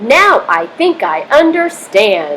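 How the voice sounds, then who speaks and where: A woman speaks in a high-pitched voice. She is putting on a character voice. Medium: read story.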